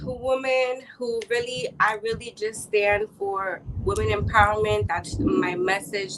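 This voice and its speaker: A woman with a Chicago accent speaks at a fairly high pitch. Her pace is very slow. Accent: Chicago American English. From Chicago, US Midwest. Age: 20s. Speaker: entrepreneur and women's empowerment advocate. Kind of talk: interview.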